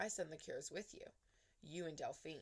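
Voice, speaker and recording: A raspy, female-sounding put-on character voice delivered at a moderate pace. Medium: read story. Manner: terse, clipped.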